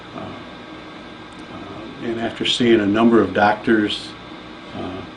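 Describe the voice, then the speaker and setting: A man's fairly low, monotone voice at a fairly slow pace, with flat intonation, noticeable background noise and audible room echo. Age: 50s. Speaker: patient giving testimonial. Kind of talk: testimony.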